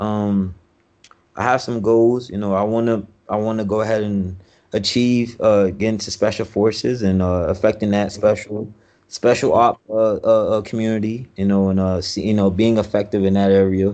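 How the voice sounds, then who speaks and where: In an American accent, a man speaks at a moderate pace with a fairly low pitch. His tone is dark and mellow, and his intonation is monotone and flat. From Miami, Florida. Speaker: military service member. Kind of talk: casual interview chat. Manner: halting, many fillers and repetitions.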